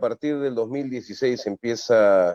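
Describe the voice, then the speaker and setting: A man speaks at a moderate pace with a dark, mellow tone and lively intonation. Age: 60s. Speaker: comedian. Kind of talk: interview. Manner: halting.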